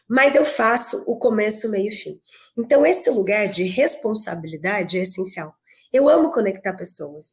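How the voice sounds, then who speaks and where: A somewhat breathy woman with a fairly high pitch, an energetic tone, lively intonation, and a fairly slow pace. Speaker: networking group executive. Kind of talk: podcast interview.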